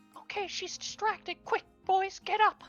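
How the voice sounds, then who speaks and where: A put-on character voice delivers lines at a moderate pace over faint music in the background. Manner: whispered, conspiratorial.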